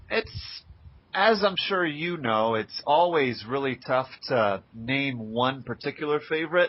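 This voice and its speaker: A man with an unremarkable speaking voice talks fairly slowly, his fairly high pitch carried by lively intonation. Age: 20s. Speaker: blogger interviewing a retro gamer. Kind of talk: casual interview.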